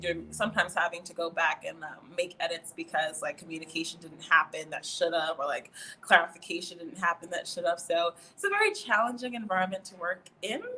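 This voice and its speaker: Speaking at a fairly quick pace with an American accent, a woman shows ordinary pitch variation and big swings in loudness against noticeable background noise. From New York. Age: 20s. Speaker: student affairs administrator. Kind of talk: podcast interview.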